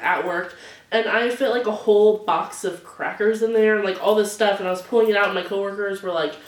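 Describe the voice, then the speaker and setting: A woman speaks at a fairly quick pace with a medium pitch. Audible room echo and noticeable background noise surround her voice. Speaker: beauty and lifestyle vlogger. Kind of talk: casual unboxing and show-and-tell vlog. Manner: animated; loud.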